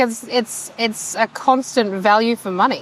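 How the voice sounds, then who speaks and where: Loud and at a fairly slow pace, a woman with an Australian accent speaks over noticeable background noise. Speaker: towing business owner. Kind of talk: interview.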